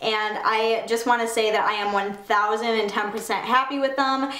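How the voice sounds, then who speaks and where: A woman's voice with ordinary pitch variation and audible room echo. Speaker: fashion vlogger. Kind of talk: casual vlog chat. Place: home room.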